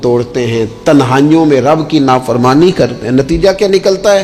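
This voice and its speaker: Music plays in the background as a man speaks. His pitch varies in an ordinary way. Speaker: Islamic preacher. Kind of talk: religious sermon. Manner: emotional, earnest.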